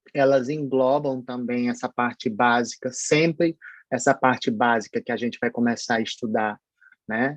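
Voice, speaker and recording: A man speaks at a moderate pace with a medium pitch and fairly even intonation. The sound is dry and close, with no echo. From Paraíba, northeast Brazil. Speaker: pharmacology professor. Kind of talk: online lecture. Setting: online synchronous class. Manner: hesitant, many fillers.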